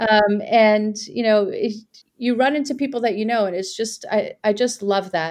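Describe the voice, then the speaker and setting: A woman in a New York accent speaks at a moderate pace with a fairly high pitch and ordinary pitch variation. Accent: American, New York area. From Iran, raised in New York area from childhood. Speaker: political candidate, former prosecutor. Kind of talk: interview. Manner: hesitant, with fillers.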